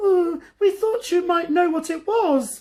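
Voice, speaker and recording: Put-on character voice, extremely high and squeaky, at a fairly slow pace. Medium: read story. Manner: nervous, stammering.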